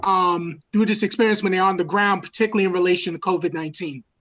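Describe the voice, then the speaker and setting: A New York accent with ordinary pitch variation. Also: woman. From New York City. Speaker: university student affairs administrator. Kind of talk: virtual town hall presentation. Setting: video call. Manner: halting.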